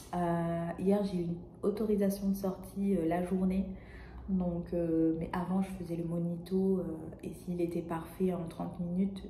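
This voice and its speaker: Soft-spoken speech comes at a fairly slow pace with monotone, flat intonation. There is audible room echo and noticeable background noise. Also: woman. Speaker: vlogger. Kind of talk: casual vlog monologue. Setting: hospital room. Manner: hesitant, many fillers. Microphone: may be too quiet.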